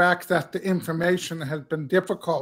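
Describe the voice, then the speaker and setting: Against a quiet background, a man talks at a fairly slow pace with a high pitch. His intonation is monotone and flat. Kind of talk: panel discussion. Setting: video call. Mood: earnest, reflective. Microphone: headset.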